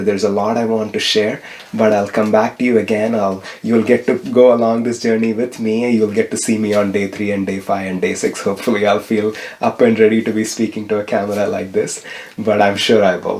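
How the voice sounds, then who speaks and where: This man talks at a fairly quick pace with a Tamil accent. His fairly low voice stays monotone and flat. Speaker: spiritual vlogger. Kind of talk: vlog-style tutorial. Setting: home kitchen.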